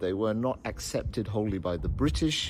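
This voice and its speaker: A man's voice at a moderate pace with very wide swings in pitch. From Scotland. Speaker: crime fiction author. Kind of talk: interview answer.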